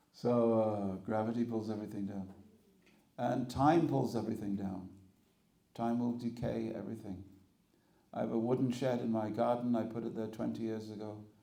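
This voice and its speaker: A man with a dark, mellow tone speaks at medium pitch and a moderate pace with fairly even intonation. His long, frequent pauses come with audible room echo. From England. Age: 60s. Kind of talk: spiritual talk. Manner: conversational, humorous.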